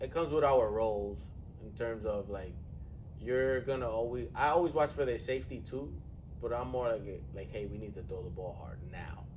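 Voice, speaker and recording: Somewhat breathy, a man with a medium pitch speaks at a moderate pace with very wide pitch swings and big swings in loudness, amid audible room echo. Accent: New York. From New York City. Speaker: strength coach and podcast host. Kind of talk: casual chat. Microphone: poor audio, mics weren't working.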